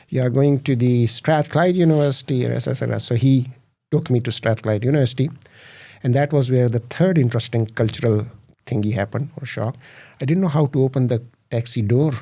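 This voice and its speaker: A man speaks fairly quickly in a somewhat breathy voice of medium pitch with ordinary pitch variation. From Pakistan. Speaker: tech company founder. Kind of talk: podcast interview. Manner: hesitant, many fillers.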